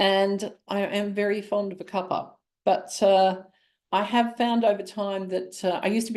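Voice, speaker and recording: A dark, mellow tone comes through in an Australian accent against a quiet background. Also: woman. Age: 60s. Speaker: naturopath and nutritionist. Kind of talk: webinar presentation. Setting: online webinar. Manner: conversational with filler words.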